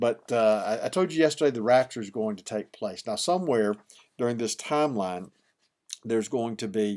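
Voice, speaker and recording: At a fairly quick pace, a man with an Alabama accent speaks in a medium pitch with ordinary pitch variation. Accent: Southern US (Alabama). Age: 60s. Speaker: pastor. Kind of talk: devotional teaching. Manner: hesitant, frequent fillers and repeats.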